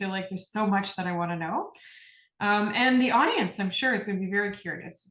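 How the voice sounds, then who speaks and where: A woman speaks at a medium pitch with ordinary pitch variation, in an unremarkable speaking voice. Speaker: podcast host. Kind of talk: podcast interview host.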